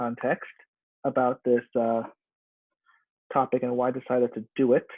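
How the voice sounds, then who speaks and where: A man speaks at a medium pitch. He keeps a moderate pace. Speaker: undergraduate student. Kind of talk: ad-libbed class presentation video essay. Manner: hesitant, improvised.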